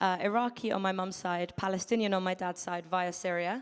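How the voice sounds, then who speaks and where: A woman speaks with a British accent and ordinary pitch variation. The recording is very clean with a silent background. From London, England. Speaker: event host. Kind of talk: event MC introduction. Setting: stage with audience.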